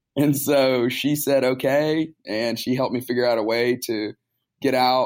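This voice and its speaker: This man has an ordinary speaking voice, medium in pitch, with an American accent. He talks at a moderate pace with fairly even intonation. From US South, Tuscaloosa, Alabama. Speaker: pastor. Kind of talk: interview.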